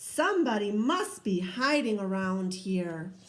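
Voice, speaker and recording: A woman's put-on character voice at medium pitch, fairly slow and lively in intonation, with audible echo. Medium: read story.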